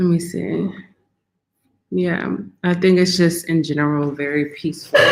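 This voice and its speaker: With an American accent, a woman speaks in a fairly low pitch with ordinary pitch variation. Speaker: wellness content creator. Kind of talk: livestream talk to viewers. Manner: slow, low-energy.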